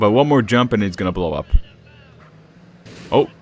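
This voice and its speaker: A man talks with a slight Eastern European accent. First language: not English, learned English from video games. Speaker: gaming streamer. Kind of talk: live gameplay commentary. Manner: casual, halting with fillers.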